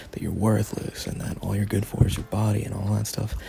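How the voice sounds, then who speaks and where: A man speaks at a fairly low pitch with a soothing tone. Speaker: voice actor. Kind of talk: heartfelt personal advice talk. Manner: soothing, calming.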